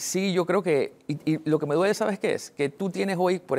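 This man speaks very fast. The rise and fall of his pitch is ordinary. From Panama (Betania, Panama City); Panama. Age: 30s. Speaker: local election candidate; election candidate. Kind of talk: TV news interview. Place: studio. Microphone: lapel.

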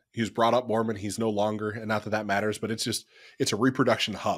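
A man talks at a very fast pace with an American accent. Behind him, the background is quiet. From Ohio, US Midwest. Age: 30s. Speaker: ecommerce CEO; podcast guest. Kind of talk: podcast interview; interview answer. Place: home room.

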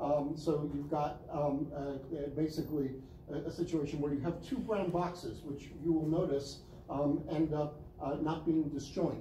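A man with an American accent talks at a fairly slow pace. Audible room echo and light background noise are present. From US Northeast, Brooklyn NY (Flatbush); US Northeast. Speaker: university professor. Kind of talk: lecture. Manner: halting, many fillers and repetitions. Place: classroom. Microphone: camera far.

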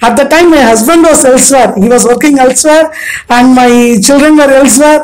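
Against a quiet background, a woman with an Indian accent speaks fairly quickly at a high pitch with ordinary pitch variation. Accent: Indian English (Tamil). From Madurai, Tamil Nadu, India. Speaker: retired bank manager, career counselor. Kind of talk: interview, casual chat. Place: home room. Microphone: handheld.

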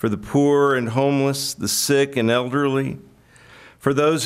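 The pace is fairly slow and the intonation fairly even. The background is quiet. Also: man. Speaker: pastor giving invocation. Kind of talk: prayer. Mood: solemn, reverent. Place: hall. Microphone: podium.

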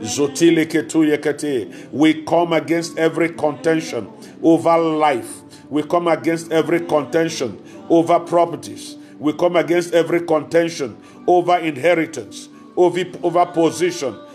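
Loudness stays very even throughout. Faint music plays in the background. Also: man, fairly even intonation, moderate pace. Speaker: preacher. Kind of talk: fervent prayer, with speaking in tongues. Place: home room. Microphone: phone near.

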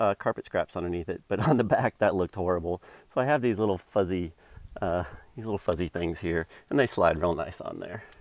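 A man talks at a fairly quick pace in a fairly low pitch, with ordinary pitch variation. It is a normal speaking voice, recorded dry with no echo. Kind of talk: tutorial. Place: car. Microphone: phone near.

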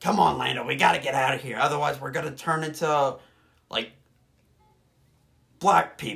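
A man in a raspy, put-on character voice talks at a moderate pace with a fairly high pitch. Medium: fan dub.

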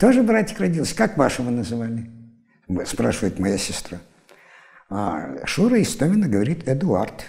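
With a quiet background, the man's pitch swings very widely while he keeps a moderate pace. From Siberia, Irkutsk region; Siberia, Russia. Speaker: university lecturer; university lecturer, interviewee. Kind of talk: interview storytelling. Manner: animated. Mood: lively, amused storytelling. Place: studio. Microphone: lapel.

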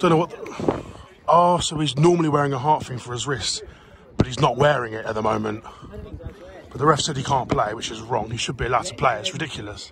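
Shouting at a fairly quick pace, a man with a fairly high pitch sounds animated, with ordinary pitch variation and big swings in loudness, the sound dry with no echo but noticeable background noise. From England. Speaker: football vlogger and fan. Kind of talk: sports vlog, with live-commentary-style reactions to the match. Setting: outdoors at a football ground. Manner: excitable, animated, shouting in real time at goals and chances; casual, chatty, swears. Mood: excited, frustrated about game. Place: open country. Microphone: phone near.

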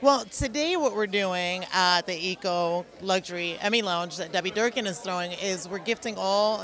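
Light background noise sits behind a woman talking at a moderate pace. She hardly pauses at all. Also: dry sound with no echo. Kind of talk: interview answer. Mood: cheerful, laughing. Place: hall. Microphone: handheld.

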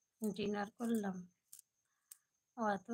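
A woman speaks at a fairly slow pace. Her pitch moves very little.

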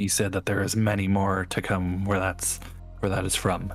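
Putting on a character voice, a man cackles in a fairly low pitch at a fairly slow pace. Clear music plays in the background. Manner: cackling, chittering, greedy for meat; short broken sentences.

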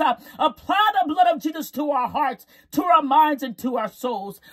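A woman talks fairly slowly, with a quiet background behind her. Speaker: prayer leader. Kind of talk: fervent live-streamed prayer, intercessory, with repeated hallelujahs. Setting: live stream to online audience. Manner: impassioned, pleading, rhythmic repetition, rising intensity; commanding and declarative when rebuking. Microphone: phone near.

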